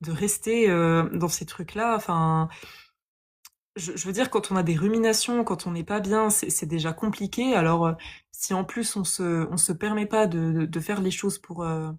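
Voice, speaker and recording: In a very clean recording with a silent background, a woman talks at a fairly slow pace and a fairly low pitch, with ordinary pitch variation. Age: 20s. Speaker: yoga teacher. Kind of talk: testimony. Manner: hesitant, many fillers.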